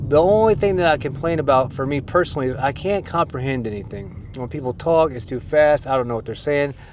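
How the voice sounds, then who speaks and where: Over noticeable background noise, a man with an American accent talks at a fairly quick pace. His voice is fairly high, with ordinary pitch variation. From United States. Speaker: YouTuber / language learner. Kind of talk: casual vlog monologue. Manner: casual, hesitant.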